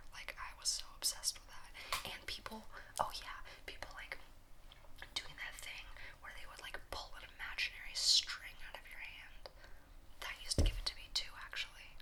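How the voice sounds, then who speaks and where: A woman whispers in a relaxed tone, with long, frequent pauses. Her loudness swings widely over noticeable background noise. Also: moderate pace. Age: 20s. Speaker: ASMR content creator. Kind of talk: casual talk to camera, Q&A. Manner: soft, relaxed.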